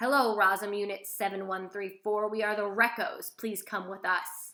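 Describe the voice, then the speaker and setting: A woman's put-on, robotic character voice at medium pitch, delivered at a moderate pace. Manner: polite and mechanical.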